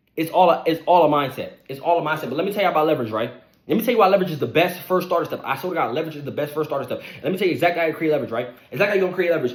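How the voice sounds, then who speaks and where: Over noticeable background noise, a man with a fairly high voice speaks at a very fast pace. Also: hardly any pauses. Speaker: online money motivation creator. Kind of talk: motivational monologue.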